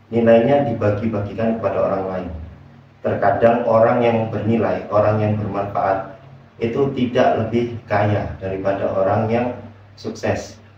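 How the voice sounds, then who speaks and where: A man's medium-pitched, monotone voice at a moderate pace, with flat intonation, audible room echo and noticeable background noise. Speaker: motivational speaker. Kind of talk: motivational talk. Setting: bedroom at night. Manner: soft-spoken.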